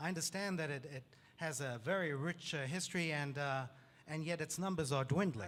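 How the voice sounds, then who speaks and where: Speaking at a fairly quick pace, a man uses a normal speaking voice with ordinary pitch variation. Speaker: newspaper editor, interviewer. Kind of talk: interview questions.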